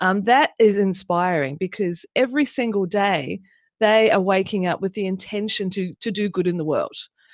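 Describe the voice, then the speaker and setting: With a New Zealand accent, the speaker talks at a moderate pace with ordinary pitch variation, in a very clean recording with a silent background and a dry, close sound with no echo. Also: woman, medium pitch for a woman. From New Zealand, Auckland area. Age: 50s. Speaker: business mentor. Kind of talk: interview.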